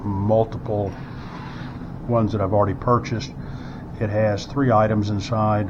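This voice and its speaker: A man's fairly low voice at a moderate pace, intonation fairly even, with noticeable background noise and audible room echo. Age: 60s. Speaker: firearms product reviewer. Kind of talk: unboxing tutorial. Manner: hesitant, many fillers.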